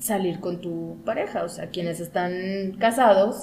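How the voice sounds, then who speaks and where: Her pitch is medium. This woman speaks at a very slow pace. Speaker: podcast host. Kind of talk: casual chat.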